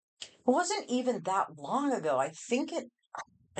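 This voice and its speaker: A woman speaks loudly. She has an American accent. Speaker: addiction counselor. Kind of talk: podcast interview.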